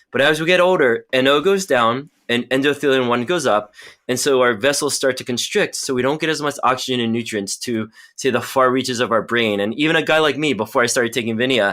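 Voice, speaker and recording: Talking at a very fast pace, a man has a bright, sharp tone and ordinary pitch variation. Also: medium pitch for a man, very clean recording, silent background. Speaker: pharmacology researcher and company medical officer. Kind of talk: interview. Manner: animated.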